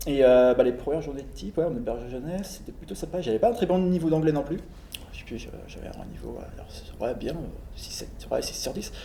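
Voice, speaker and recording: The man talks at a fairly quick pace with big swings in loudness, and audible echo fills the room. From France. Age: 30s. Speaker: traveller. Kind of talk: casual chat.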